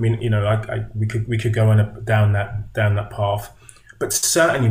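A man speaks somewhat breathily at a fairly low pitch, his intonation fairly even. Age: 50s. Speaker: movement coach and author. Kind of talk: casual chat.

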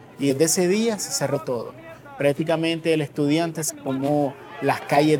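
Amid crowd noise and audible room echo, a man speaks at a moderate pace with ordinary pitch variation. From Nicaragua. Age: 30s. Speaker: refugee. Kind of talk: testimony.

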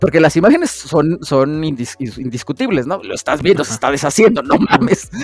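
A man's fairly high, lively voice in a Mexican accent at a fairly quick pace with hardly any pauses, over music in the background. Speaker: podcast co-host. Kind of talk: casual chat.

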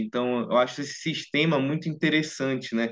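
Speaking in a Brazilian accent, a man keeps a moderate pace. His fairly high pitch shows ordinary variation. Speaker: medical student. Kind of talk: interview.

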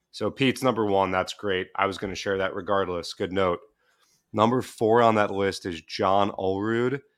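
At a moderate pace and with fairly even intonation, a plain, everyday voice comes through over a quiet background. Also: man, fairly low pitch for a man. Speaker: podcast producer. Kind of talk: casual chat. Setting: remote call.

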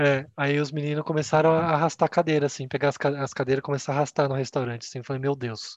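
A man speaks very fast with hardly any pauses, his fairly high pitch held in monotone, flat intonation. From Brazil, Campinas (São Paulo state). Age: 20s. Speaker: customer experience coordinator, podcast co-host. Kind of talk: casual chat.

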